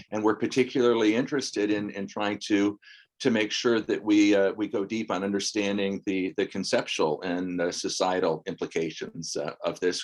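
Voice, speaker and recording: A man with an American accent talks fairly quickly in a fairly low voice with fairly even intonation against a quiet background. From western US. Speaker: professor. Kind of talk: online information session. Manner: halting.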